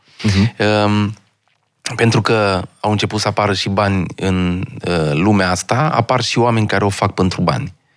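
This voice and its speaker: In a normal speaking voice, a man talks at a moderate pace with a fairly low pitch, ordinary pitch variation and very even loudness. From Romania, Bihor county (Marghita). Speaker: stand-up comedian. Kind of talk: casual interview chat.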